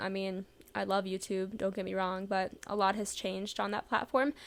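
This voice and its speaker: At a fairly quick pace, a woman speaks with an American accent and a medium pitch. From US Midwest, St. Louis, Missouri. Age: 20s. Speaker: podcaster and vlogger. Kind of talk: casual monologue. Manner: laid-back.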